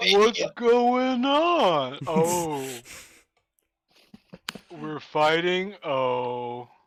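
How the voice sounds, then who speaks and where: Using a put-on character voice at a middle pitch, the speaker goes at a very slow pace with long, frequent pauses. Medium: actual play. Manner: drowsy, casual.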